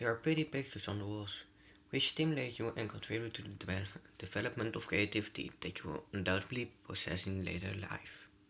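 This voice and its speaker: A man talks at a very fast clip, his pitch fairly low. His tone comes across bright and sharp. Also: ordinary pitch variation. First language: not English. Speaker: gaming youtuber. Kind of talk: let's play reading game text aloud. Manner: halting, frequent stumbles and self-corrections.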